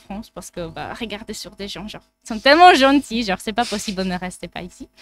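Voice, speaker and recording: A woman's medium-pitched voice rises and falls in a normal way. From Czech Republic. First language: Czech (speaking French). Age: 20s. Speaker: psychology student. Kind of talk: casual chat.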